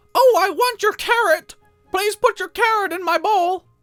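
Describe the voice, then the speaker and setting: A put-on character voice pitched extremely high, delivered at a moderate pace. Faint music plays in the background. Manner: cartoonish, sassy.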